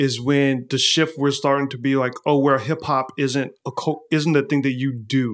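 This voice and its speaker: On a very clean recording with a silent background, a man with an American accent and a plain, everyday voice speaks at a moderate pace, fairly high in pitch with fairly even intonation. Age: 40s. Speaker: artist and magazine founder. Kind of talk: casual interview.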